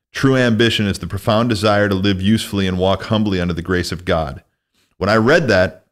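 With an American accent, a man talks at a moderate pace in a fairly low voice with ordinary pitch variation over a quiet background. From US Midwest, northwest Illinois. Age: 40s. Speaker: podcast host. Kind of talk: casual interview. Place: studio. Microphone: studio mic.

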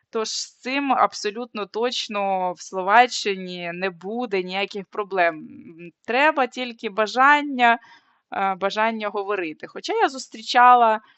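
In an unremarkable speaking voice, a woman speaks at a fairly high pitch with ordinary pitch variation. Her pace is fairly slow, and her loudness swings widely. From Ukraine. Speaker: social anthropologist and video blogger. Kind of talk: vlog talk to camera.

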